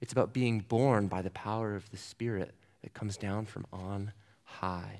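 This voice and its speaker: An unremarkable speaking voice from a man with an American accent, fairly low in pitch, moderate in pace, with fairly even intonation, in a very clean recording with a silent background. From US Southwest (New Mexico). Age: 20s. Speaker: student ministry director and seminary student. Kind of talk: sermon.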